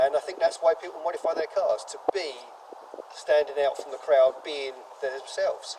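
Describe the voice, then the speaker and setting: Noticeable background noise sits behind a man's voice. His pitch is fairly high, and his intonation is fairly even. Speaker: car enthusiast and YouTuber. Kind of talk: documentary interview. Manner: loud.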